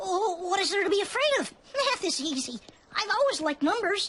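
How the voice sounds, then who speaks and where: In a cartoonish character voice, the speaker uses an extremely high pitch and a nervous tone. The pace is fairly quick. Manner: nervous, fretful.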